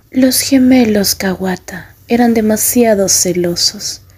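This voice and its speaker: Somewhat breathy and dark, mellow in tone, a woman speaks at a fairly high pitch with lively intonation on a very clean recording with a silent background. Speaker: ASMR roleplay fanfic narrator. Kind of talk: bedtime story telling, second-person fanfic roleplay narration. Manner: soft, slow, soothing ASMR whisper-like delivery.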